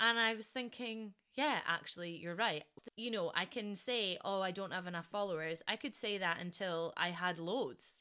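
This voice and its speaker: Bright and sharp in tone, a woman speaks with a Scottish accent at medium pitch, moderate pace and ordinary pitch variation. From Scotland. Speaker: podcast host, dancer. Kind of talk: solo podcast monologue. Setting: home recording.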